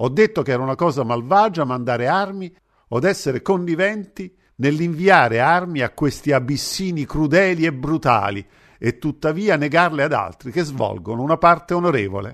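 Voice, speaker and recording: A man with a normal speaking voice, fairly high in pitch, with lively intonation at a moderate pace against a quiet background. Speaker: radio host. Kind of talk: reading aloud a literary essay in a formal, solemn delivery. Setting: radio broadcast. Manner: formal; measured, declamatory.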